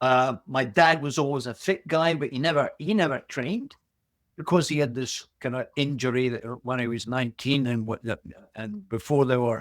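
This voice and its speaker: A man with an Aberdeen accent, at a moderate pace with ordinary pitch variation. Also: medium pitch for a man. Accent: Scottish (Aberdeen). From Aberdeen, Scotland. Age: 70s. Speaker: boxer. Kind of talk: interview answer.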